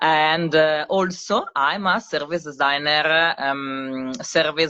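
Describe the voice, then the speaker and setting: A woman with an Italian accent and fairly even intonation. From Italy, Milan. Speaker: service designer and live co-host. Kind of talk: casual live-stream chat. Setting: social media live stream. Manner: hesitant, many fillers.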